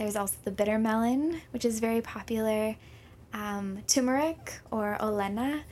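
Noticeable background noise sits behind a woman speaking at a moderate pace with an American accent. Her pitch is fairly high, with ordinary variation. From Minnesota. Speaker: health and wellness program lead. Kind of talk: radio interview.

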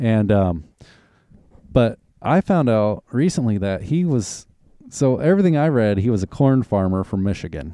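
Recorded dry and close with no echo, a man with a Southern US accent talks with lively intonation in a dark, mellow tone. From US South, Arkansas and Oklahoma. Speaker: podcast host. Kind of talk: casual chat.

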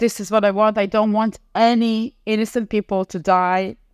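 A woman at a medium pitch with an Israeli accent, fairly even intonation and a very slow pace. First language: Hebrew. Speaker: former diplomat and content consultant. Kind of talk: interview testimony. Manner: halting.

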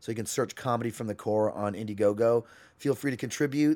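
An ordinary speaking voice from a man, medium in pitch with ordinary pitch variation, at a fairly quick pace. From Canada. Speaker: comedian. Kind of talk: casual chat.

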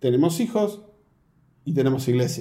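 In a room with audible echo, a man with a dark, mellow, somewhat breathy tone speaks at a moderate pace. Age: 40s. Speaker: pastor. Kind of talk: interview conversation.

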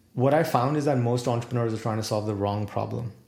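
A man speaks in a dark, mellow tone that is somewhat breathy, with ordinary pitch variation. Audible room echo is present. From India, New Delhi. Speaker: executive coach and author. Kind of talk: casual interview.

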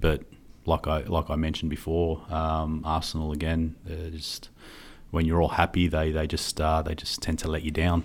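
A man with an Australian accent speaks in a very deep, low pitch at a moderate pace, his intonation monotone and flat, in a very clean recording with a silent background. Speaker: football podcast co-host. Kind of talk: casual chat. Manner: hesitant, many fillers.

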